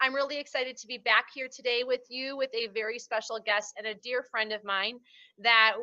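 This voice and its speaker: A woman speaks at a moderate pace in a fairly high pitch, her intonation monotone and flat. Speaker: interview host. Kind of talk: interview host talk.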